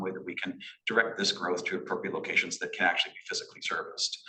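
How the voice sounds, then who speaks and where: A man is talking over noticeable background noise. Audible room echo surrounds his voice. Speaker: municipal staff planner. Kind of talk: staff presentation at council meeting. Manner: fast; halting, many fillers and repetitions.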